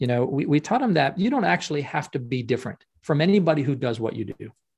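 Against a quiet background, a man with a Canadian accent speaks at a very fast pace, somewhat breathy, with a fairly high pitch and lively intonation. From Canada (Ottawa). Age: 50s. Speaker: professional speaker and speaking coach. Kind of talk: podcast interview. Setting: remote call.

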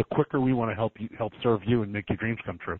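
A man's unremarkable speaking voice at a medium pitch with fairly even intonation. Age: 40s. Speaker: entrepreneur, call center CEO. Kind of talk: interview. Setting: phone call.

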